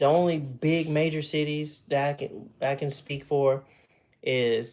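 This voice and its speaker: Fairly high for a man, this voice carries a slight Southern US accent. He speaks at a very slow pace. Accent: slight Southern drawl. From Texas. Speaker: livestreamer. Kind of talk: casual chat. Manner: casual, halting with fillers.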